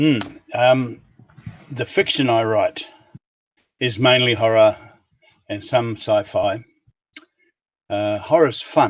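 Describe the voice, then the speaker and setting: A man with a New Zealand accent at a very slow pace, medium pitch, ordinary pitch variation and long, frequent pauses. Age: 70s. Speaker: writer. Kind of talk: interview. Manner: hesitant, with fillers.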